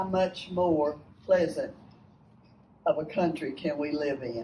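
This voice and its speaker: The woman's voice is somewhat breathy. She speaks at a very slow pace. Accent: Texan. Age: 80s+. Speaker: retired basketball coach, speaker. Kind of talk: speech to a lunch meeting. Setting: luncheon with audience.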